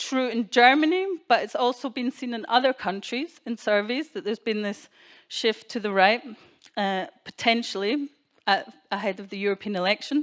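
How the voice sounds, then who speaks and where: A woman with a Scottish accent talks at a moderate pace and a high pitch. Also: dry, close sound with no echo, very clean recording, silent background. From Scotland. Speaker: keynote speaker. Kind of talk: speech to an audience.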